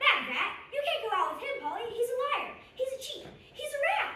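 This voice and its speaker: A woman shouts in a put-on character voice pitched extremely high, with a slight echo. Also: moderate pace. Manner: shouting, indignant.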